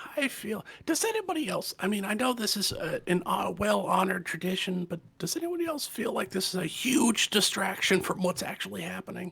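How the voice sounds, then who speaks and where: A raspy, put-on character voice at a middle pitch and a fairly quick pace. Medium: actual play. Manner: hesitant, wry.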